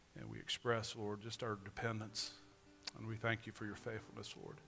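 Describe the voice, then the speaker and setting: A man talks fairly quickly in a fairly low voice with flat, monotone intonation. Faint music plays in the background. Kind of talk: call to worship and spoken prayer. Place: church.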